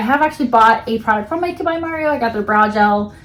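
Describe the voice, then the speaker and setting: Noticeable background noise surrounds this recording. A woman speaks at a high pitch. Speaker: beauty vlogger. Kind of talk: product unboxing review. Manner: fast.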